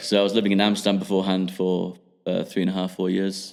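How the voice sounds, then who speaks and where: A man mumbling with an English accent. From England, Midlands (Rugby). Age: 20s. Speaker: podcast guest. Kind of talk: casual chat. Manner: halting.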